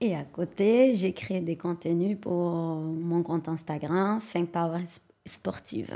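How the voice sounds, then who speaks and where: A woman with a Brazilian accent speaks very slowly in a dark, mellow tone at a fairly low pitch, with ordinary pitch variation, on a very clean recording with a silent background. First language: Portuguese (speaking French). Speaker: sports science researcher. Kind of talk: podcast interview.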